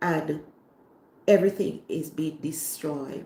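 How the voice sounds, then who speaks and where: In a Jamaican accent, a woman speaks at a very slow pace. Her pitch shows ordinary variation. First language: Jamaican Patois. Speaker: cooking channel host. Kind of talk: livestream talk to viewers. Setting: online livestream.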